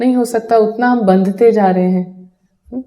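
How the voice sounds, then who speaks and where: This woman's voice sits at a medium pitch. Her intonation is fairly even. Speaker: meditation teacher. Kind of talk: spiritual talk.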